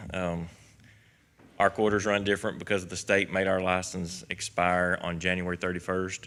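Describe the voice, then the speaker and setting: In a Kentucky accent, a man with a very deep, low pitch and a bright, sharp tone speaks at a moderate pace in a monotone, flat delivery on a very clean recording with a silent background. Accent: West Kentucky. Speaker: county alcohol beverage control administrator. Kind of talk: quarterly report to a public meeting. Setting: county government meeting. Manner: hesitant, many fillers.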